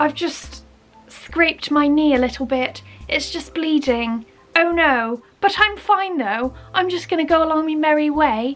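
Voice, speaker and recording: With music in the background, a woman speaks in a Bristol accent at a fairly slow pace, her high pitch showing ordinary variation and a playful, upbeat tone. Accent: Bristolian English. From Bristol, England. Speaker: YouTuber. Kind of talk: casual comedic talk to camera.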